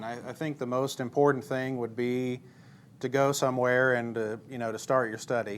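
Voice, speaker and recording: Speaking in an unremarkable speaking voice with an American accent, a man of medium pitch talks at a fairly quick pace with fairly even intonation. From Missouri. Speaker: preacher. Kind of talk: church interview.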